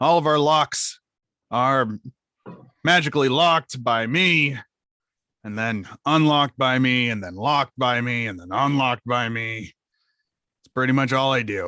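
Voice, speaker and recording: A man uses a put-on character voice at a medium pitch, sounding bored, at a moderate pace. His loudness swings widely, long pauses come often, and the sound is dry and close with no echo. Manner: monotonous, bored.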